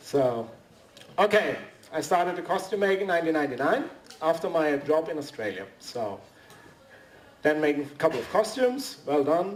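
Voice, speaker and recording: With very wide pitch swings and long, frequent pauses, a fairly high-voiced man talks at a moderate pace against noticeable background noise. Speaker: costume maker, convention panelist. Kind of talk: workshop presentation. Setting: convention panel with audience. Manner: halting.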